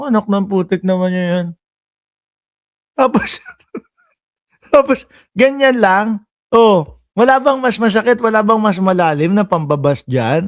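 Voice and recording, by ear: In a dry, close sound with no echo, a man with a high pitch and lively intonation talks at a fairly slow pace with long, frequent pauses.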